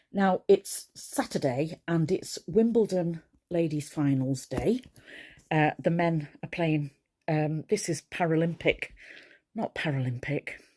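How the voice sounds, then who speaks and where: On a very clean recording with a silent background, a woman with a Cheshire accent speaks at a very slow pace in a fairly low, dark, mellow tone with ordinary pitch variation, the sound dry and close with no echo. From Mid-Cheshire, England. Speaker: crafter, quilter. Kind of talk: casual talk to camera.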